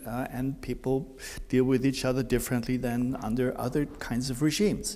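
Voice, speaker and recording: A man speaks in a normal speaking voice at a moderate pace and medium pitch. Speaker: academic commentator, department head. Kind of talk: prepared commentary.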